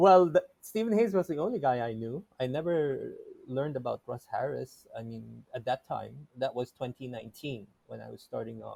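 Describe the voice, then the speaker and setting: In a dry, close recording with no echo, a man with a non-native accent speaks at a moderate pace with big swings in loudness. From Philippines, ethnic Chinese. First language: not English. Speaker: therapist. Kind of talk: interview. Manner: halting, many false starts.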